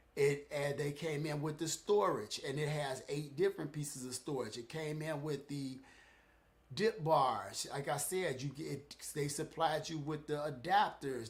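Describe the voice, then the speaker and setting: Somewhat breathy, the voice keeps a moderate pace. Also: man. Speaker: fitness equipment reviewer. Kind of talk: live stream product review. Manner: halting, stuttering.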